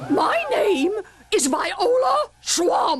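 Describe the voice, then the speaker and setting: In a raspy, put-on character voice, a woman speaks at an extremely high pitch with very wide pitch swings. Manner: menacing.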